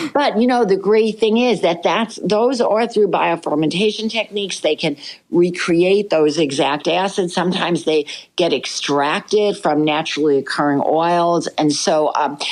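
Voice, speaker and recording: With lively intonation and very even loudness, a woman with a fairly low pitch speaks at a moderate pace over noticeable background noise. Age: 70s. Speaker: dermatologist. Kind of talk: podcast interview.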